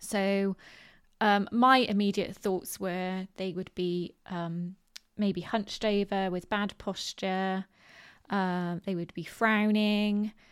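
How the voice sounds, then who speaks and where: Very slow, monotone speech in a West Country accent, broken by long, frequent pauses, on a very clean recording with a silent background. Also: woman, medium pitch for a woman. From Bristol, southwest England. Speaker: podcast host. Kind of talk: solo podcast talk on positive mindset. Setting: home recording with dogs. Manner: informal, filler words, chatty.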